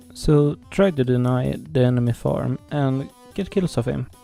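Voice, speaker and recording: Music sits in the background as a man at a medium pitch speaks with a dry, close sound and no echo. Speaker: gaming guide creator. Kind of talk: game tutorial voiceover.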